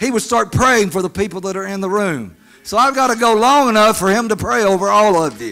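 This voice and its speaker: A man's raised, projected voice with a bright, sharp tone, at a moderate pace with ordinary pitch variation. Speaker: preacher. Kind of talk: sermon. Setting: church meeting with audience. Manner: crowd-engaging, exhorting. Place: church. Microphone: handheld.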